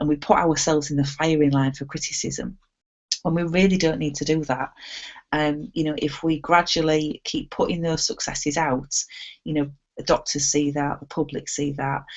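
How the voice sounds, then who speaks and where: At a moderate pace, this woman's very deep, low voice carries fairly even intonation. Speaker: hypnotherapy trainer. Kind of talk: online training webinar.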